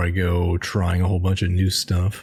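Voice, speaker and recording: A man talks at a very deep, low pitch. His pace is moderate, and there is noticeable background noise. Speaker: gamer, video creator. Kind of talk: casual gameplay commentary.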